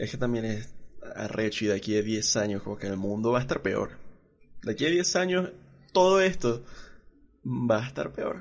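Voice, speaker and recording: Very wide pitch swings and long, frequent pauses. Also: man, medium pitch for a man, moderate pace. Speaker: podcast host. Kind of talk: casual chat.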